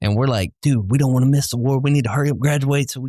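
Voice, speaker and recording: A man with a strong Southern US accent is captured in a dry, close sound with no echo on a very clean recording with a silent background. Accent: heavy Southern country. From US South. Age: 30s. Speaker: podcast host, military veteran. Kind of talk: casual chat.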